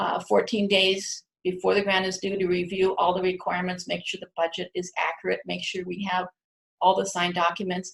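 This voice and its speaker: A woman's medium-pitched voice with vocal fry, monotone, flat intonation and a fairly quick pace. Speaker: university research administrator. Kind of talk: conference presentation. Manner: fast.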